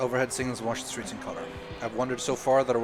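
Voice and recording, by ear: This clip has someone reading aloud in a natural voice.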